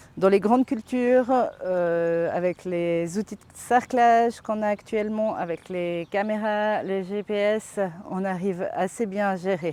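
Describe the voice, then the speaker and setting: Speaking very slowly, a woman uses a medium pitch and ordinary pitch variation. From French-speaking Switzerland, Vaud (Yvonand). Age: 40s. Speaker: organic farmer. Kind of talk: interview testimony. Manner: hesitant, many fillers.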